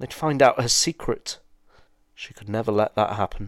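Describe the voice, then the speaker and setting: On a very clean recording with a silent background, a man speaks at a moderate pace in a medium pitch. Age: 30s. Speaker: podcast host and author reading own story. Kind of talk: dramatic narration of a short story, read aloud in a hushed, suspenseful storyteller tone. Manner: reflective, hesitant with fillers in intro.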